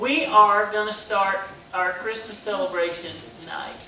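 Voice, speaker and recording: A man's raised, projected voice with audible room echo and light background noise. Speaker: pastor making announcements. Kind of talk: church announcements. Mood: cheerful, joking. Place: church.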